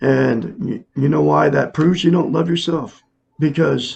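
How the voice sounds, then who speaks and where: Vocal fry and lively intonation at a very slow pace, with an American accent. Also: man. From Oregon. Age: 60s. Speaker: self-help teacher. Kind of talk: casual monologue. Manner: halting.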